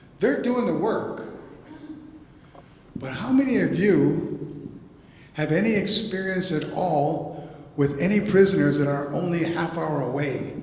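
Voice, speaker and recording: A man with a high pitch and lively intonation talks at a fairly slow pace, leaving long, frequent pauses. There is audible room echo and noticeable background noise. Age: 70s. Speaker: poet. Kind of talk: panel discussion. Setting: gallery talk with audience. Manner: animated.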